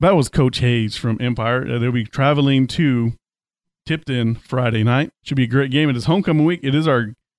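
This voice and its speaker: A man's unremarkable speaking voice at medium pitch with ordinary pitch variation. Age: 40s. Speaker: sports radio director and podcast host. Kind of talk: casual sports chat and interviews; scripted radio-style outro.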